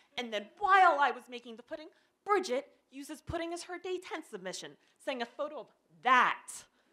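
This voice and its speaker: A woman's raised, projected voice, high-pitched with a bright, sharp tone, very wide pitch swings and big swings in loudness, at a fairly quick pace against a quiet background. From Pennsylvania. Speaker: development editor telling a personal story; presenter. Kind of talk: short presentation talk. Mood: humorous, lively. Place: stage. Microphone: handheld.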